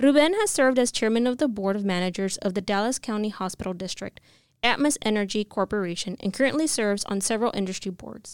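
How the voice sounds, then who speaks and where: On a very clean recording with a silent background, a woman with an ordinary speaking voice talks at a fairly high pitch with ordinary pitch variation. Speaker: podcast host. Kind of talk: interview. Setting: studio.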